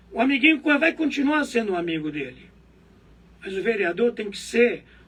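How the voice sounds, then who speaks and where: A man with an extremely high pitch speaks in a raised, projected voice, with very wide pitch swings. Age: 70s. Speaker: local politician. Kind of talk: interview.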